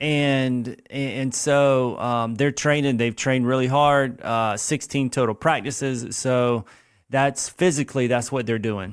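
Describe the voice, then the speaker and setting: The speaker uses fairly even intonation with a South Carolina accent on a very clean recording with a silent background. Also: man, medium pitch for a man, fairly slow pace. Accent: Southern US (South Carolina). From US South, Lexington, South Carolina. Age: 40s. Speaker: youth running program founder. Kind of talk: casual interview.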